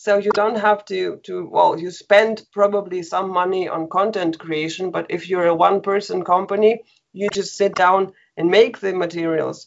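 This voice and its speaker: A woman speaks in a Russian accent at a moderate pace. Her pitch is medium. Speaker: online language teacher. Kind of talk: interview. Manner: laughs often.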